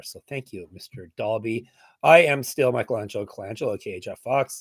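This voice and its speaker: Putting on a character voice, a man speaks fairly quickly at a medium pitch, hoarse and raspy, with ordinary pitch variation, big swings in loudness, and a dry, close sound with no echo. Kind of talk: casual podcast host.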